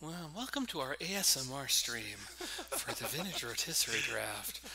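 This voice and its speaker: Noticeable background noise accompanies a man with a fairly high pitch. His intonation is lively and his pace moderate. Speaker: game commentator. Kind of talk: live commentary. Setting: livestream. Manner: loud. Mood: joking, playful. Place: home room. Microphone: echo on mic; headset.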